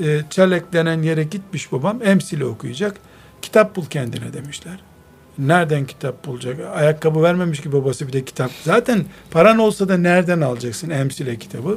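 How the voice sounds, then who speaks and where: At a moderate pace, a man speaks in a normal speaking voice. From Istanbul, Türkiye. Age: 50s. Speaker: Islamic scholar and author. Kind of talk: radio interview. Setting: his library.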